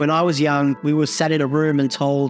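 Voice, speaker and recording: Music plays in the background as a man speaks at a fairly high pitch. His intonation stays fairly even. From South Africa. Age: 40s. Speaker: multidisciplinary artist and filmmaker. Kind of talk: interview answer.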